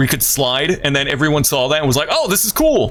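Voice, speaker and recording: Against noticeable background noise, a man with a fairly high pitch talks at a fairly quick pace, his tone animated and his intonation lively. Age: 30s. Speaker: video game streamer. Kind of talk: casual live-stream gaming commentary. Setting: live stream.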